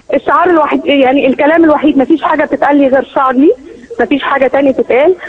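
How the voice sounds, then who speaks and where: A woman with a strong Egyptian accent talks at a very fast pace in a high pitch, with fairly even intonation and very even loudness. Noticeable background noise runs underneath. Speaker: eyewitness caller at a protest march. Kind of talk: phone interview.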